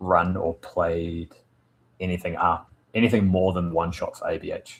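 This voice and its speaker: A man with a New Zealand accent speaks at a moderate pace. His very deep, low voice keeps a fairly even intonation. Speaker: tabletop RPG game master streamer. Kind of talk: casual live stream chat with viewers. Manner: halting, many fillers.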